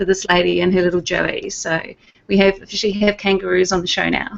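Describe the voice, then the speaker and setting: A woman with a medium pitch speaks in a strong New Zealand accent. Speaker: IT business owner. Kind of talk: casual panel chat.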